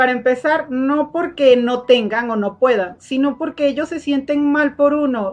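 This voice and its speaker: Hardly pausing at all, a woman with a high pitch speaks at a fairly slow pace with ordinary pitch variation. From Venezuela. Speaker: agroindustrial engineer. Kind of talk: podcast interview.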